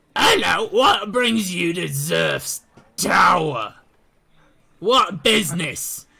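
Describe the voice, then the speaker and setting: Raspy shouting from a man in a put-on character voice, at a very slow pace with long, frequent pauses. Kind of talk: formal greeting, tabletop roleplay.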